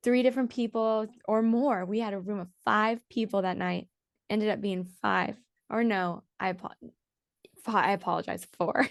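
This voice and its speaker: An unremarkable speaking voice comes at a moderate pace with fairly even intonation over a quiet background. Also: woman, fairly high pitch for a woman. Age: young. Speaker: EDM singer and songwriter. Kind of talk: casual interview chat. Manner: casual, chatty.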